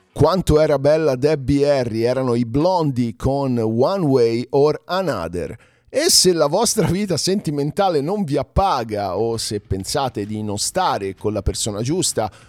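Using a normal speaking voice, a man with a fairly high pitch and lively intonation speaks at a fairly slow pace. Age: 40s. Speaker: podcast host and music presenter. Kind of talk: casual solo news commentary.

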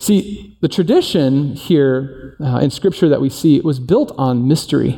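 A man with a plain, everyday voice speaks in a fairly high pitch with lively intonation. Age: 40s. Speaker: teaching pastor. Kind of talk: sermon. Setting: church service in performing arts center. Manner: casual, conversational.

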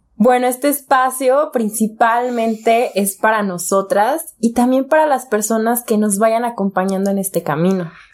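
Very even in loudness and with hardly any pauses, a woman with a Mexican accent speaks at a fairly slow pace and a fairly high pitch on a very clean recording with a silent background. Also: ordinary pitch variation. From Mexico, Jalisco (Guadalajara area). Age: 20s. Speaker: podcast co-host. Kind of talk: casual chat.

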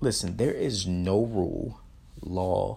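A man speaks at a very deep, low pitch with vocal fry and an animated tone. His pitch variation stays ordinary. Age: 30s. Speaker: motivational podcast host. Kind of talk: motivational monologue.

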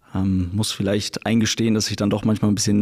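Talking at a very fast pace, a man with a fairly low pitch keeps a monotone, flat intonation over noticeable background noise. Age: 20s. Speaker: airline pilot and YouTuber. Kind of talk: casual interview chat.

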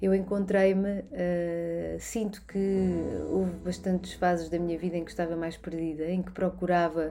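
Speaking with a Lisbon accent, a woman talks fairly slowly at a fairly low pitch with monotone, flat intonation amid noticeable background noise. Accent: European Portuguese, Lisbon area. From Portugal, Barreiro (Lisbon south bank). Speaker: macrobiotics and nutrition coach. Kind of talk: personal introduction monologue. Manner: hesitant, many filler sounds.

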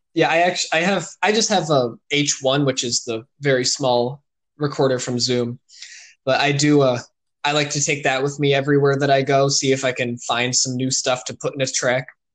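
The background stays quiet. Speech proceeds at a moderate pace. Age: young. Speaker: electronic musician. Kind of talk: casual interview.

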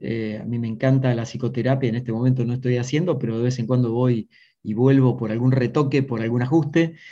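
Speaking in a dark, mellow tone with an Argentine accent, a man keeps a medium pitch, a fairly quick pace and fairly even intonation. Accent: Rioplatense Argentine Spanish. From Argentina, Buenos Aires province (Maipú). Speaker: executive coach. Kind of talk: interview conversation.

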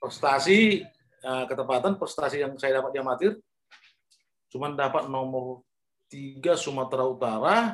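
Pausing long and often, a man with fairly high pitch and lively intonation talks at a moderate pace. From North Sumatra, Indonesia (Pematang Siantar). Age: 50s. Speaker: former boxer. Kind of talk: interview.

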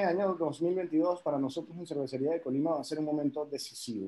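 At a fairly quick pace, a man with a normal speaking voice, fairly high in pitch, talks with ordinary pitch variation. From Caribbean, raised partly in France. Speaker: head brewer. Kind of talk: casual interview.

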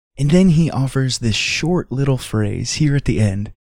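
A man speaks in a normal speaking voice at a medium pitch with ordinary pitch variation. The sound is dry and close, with no echo. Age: 30s. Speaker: devotional podcast host. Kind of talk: devotional reflection.

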